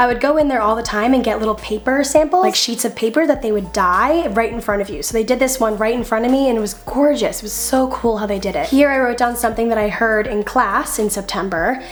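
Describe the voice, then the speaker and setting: With noticeable background noise behind her, a woman of fairly high pitch and ordinary pitch variation talks at a very fast pace with hardly any pauses. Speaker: YouTuber. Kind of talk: casual voiceover narration.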